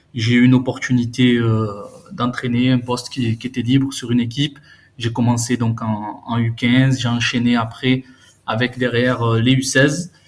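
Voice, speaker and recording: At a fairly slow pace, a man speaks in a flat monotone at a medium pitch. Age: 30s. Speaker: youth football coach. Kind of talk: casual chat.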